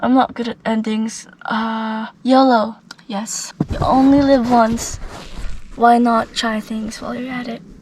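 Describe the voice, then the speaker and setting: Speaking very slowly, a woman uses a fairly high pitch with fairly even intonation and big swings in loudness. Noticeable background noise is present. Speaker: vlogger. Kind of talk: casual vlog monologue.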